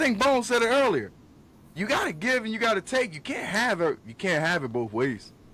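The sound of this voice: A man talks at a fairly quick pace in a high pitch with big pitch swings. His tone is bright and sharp.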